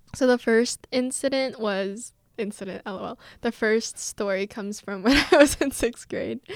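A woman with an unremarkable speaking voice talks fairly slowly at a fairly high pitch, with ordinary pitch variation and big swings in loudness. The recording is very clean and dry, close with no echo, over a silent background. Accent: American. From South Korea (Seoul) and US. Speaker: podcast co-host, university student. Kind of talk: casual chat.

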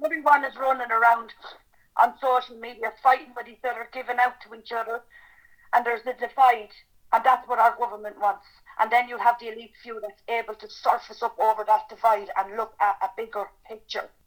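A woman with an Irish accent speaks at a fairly high pitch with fairly even intonation. Her loudness swings widely. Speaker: campaigning mother. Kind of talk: testimony.

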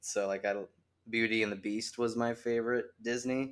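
With an American accent, a man talks at a moderate pace in a flat monotone, recorded very cleanly against a silent background. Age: 20s. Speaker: independent wrestler. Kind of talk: casual chat. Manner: laughs often.

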